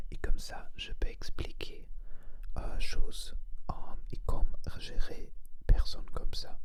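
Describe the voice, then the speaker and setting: Whispered speech comes at a very slow pace with long, frequent pauses. Noticeable background noise is present. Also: man. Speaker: ASMR creator and energy healer. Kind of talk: ASMR whispered talk to camera. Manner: whispered, slow, hesitant.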